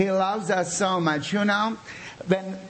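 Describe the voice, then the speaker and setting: Against noticeable background noise, a man talks at a fairly slow pace in an animated tone. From Bosnia. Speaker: pastor. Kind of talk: sermon with prayer. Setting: church with audience. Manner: animated, fervent.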